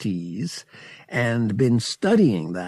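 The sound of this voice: What you hear is an unforced reading voice.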